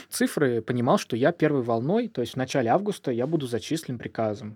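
On a very clean recording with a silent background, a man with a normal speaking voice talks at a medium pitch with lively intonation. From southern Russia, Volzhsky near Volgograd. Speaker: doctor, founder of a charity clinic. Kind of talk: interview. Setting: studio.

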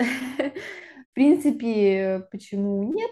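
A woman speaks in a fairly high, somewhat breathy voice with a dark, mellow tone. Her pitch varies in an ordinary way. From Siberia, Russia (Krasnoyarsk). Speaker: master's student and UX designer apprentice. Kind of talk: interview.

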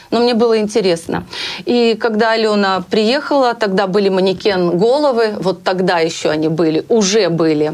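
A woman with a plain, everyday voice talks at a moderate pace in a medium pitch, with ordinary pitch variation and very even loudness. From Russia, Bryansk. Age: 50s. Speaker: hairstylist. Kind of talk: interview.

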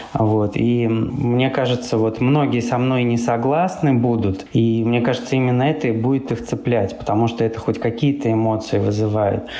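A man speaks at a moderate pace and medium pitch, with fairly even intonation and very even loudness, amid audible room echo and noticeable background noise. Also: hardly any pauses. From Russia, Samara. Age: 30s. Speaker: blogger and apartment rental owner. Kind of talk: casual chat.

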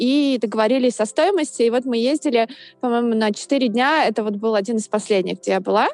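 Using an ordinary speaking voice, a woman talks at a fairly quick pace with a fairly high pitch and ordinary pitch variation. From Russia, Saint Petersburg. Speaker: yoga teacher. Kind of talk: casual interview. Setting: video call.

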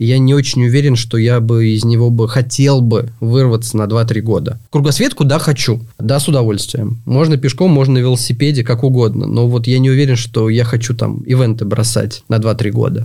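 A somewhat breathy male voice with fairly even intonation and very even loudness. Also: medium pitch for a man, moderate pace. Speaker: trail race organizer. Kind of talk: casual chat. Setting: studio. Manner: halting.

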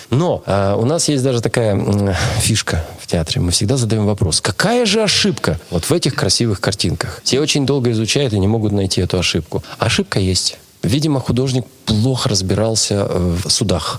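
Through noticeable background noise, a man at medium pitch talks at a moderate pace with lively intonation and very even loudness. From Russia, Urals (Nizhny Tagil). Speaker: theatre artistic director and actor. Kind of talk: interview.

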